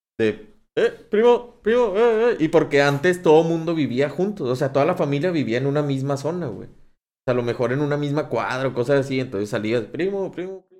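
Big swings in loudness and very wide pitch swings mark this man's fairly high-pitched voice. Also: fairly quick pace. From Monterrey, Mexico. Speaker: podcast host. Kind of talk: casual chat.

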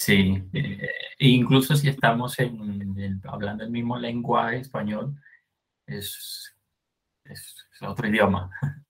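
A man speaks at a very slow pace with a medium pitch and ordinary pitch variation. His voice is somewhat breathy, and his loudness swings a lot. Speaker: podcast host. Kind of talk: casual chat.

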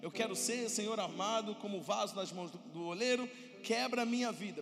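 A man talks at a high pitch and a fairly quick pace, in an animated tone. Audible room echo and noticeable background noise are present. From Brazil. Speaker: pastor. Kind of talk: sermon.

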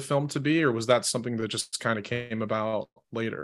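Heard in a very clean recording with a silent background, a man with an American accent talks at a moderate pace with ordinary pitch variation. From Michigan. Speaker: podcast host. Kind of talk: interview. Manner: halting, many fillers.

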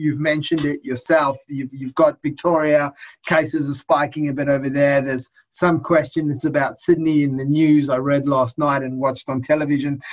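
A man speaks at a moderate pace with an Australian accent. His pitch is fairly high. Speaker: lawyer. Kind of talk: interview.

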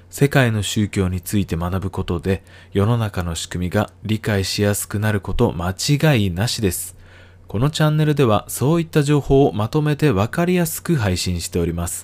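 A man's fairly low voice with very wide pitch swings and a moderate pace, on a very clean recording with a silent background. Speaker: educational YouTuber. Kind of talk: scripted narration. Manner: polite formal.

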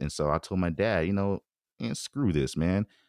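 A man with a very deep, low pitch and vocal fry talks at a fairly quick pace on a very clean, dry, close recording with a silent background and no echo. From US West Coast, San Francisco Bay Area. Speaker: former college football player. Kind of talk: casual chat.

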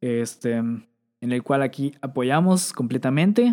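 This man speaks with a Mexican accent at a fairly high pitch. His tone is dark and mellow, with ordinary pitch variation. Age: 20s. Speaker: podcast host. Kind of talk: casual chat. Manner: animated.

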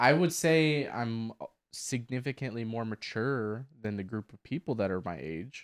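On a very clean recording with a silent background and a dry, close sound with no echo, a man talks at a fairly slow pace in a medium pitch, with lively intonation and big swings in loudness. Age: 20s. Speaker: podcast co-host. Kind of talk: casual chat. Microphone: new microphone.

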